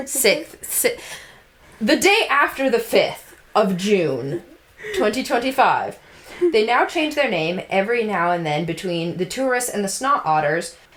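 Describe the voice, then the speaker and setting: With an American accent, the speaker goes fairly slowly while noticeable background noise carries on. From North Carolina (Durham). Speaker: podcast host. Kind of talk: casual chat. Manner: animated.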